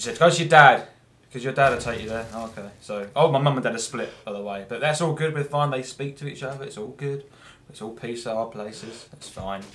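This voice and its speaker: With an English accent, the speaker talks at a fairly quick pace with ordinary pitch variation, and room echo can be heard. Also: man. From England. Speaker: gameplay commentator. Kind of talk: gameplay commentary. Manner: rambling with many fillers.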